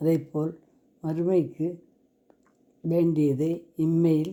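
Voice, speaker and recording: This woman's voice has a very deep, low pitch. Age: 80s+. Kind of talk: religious story telling.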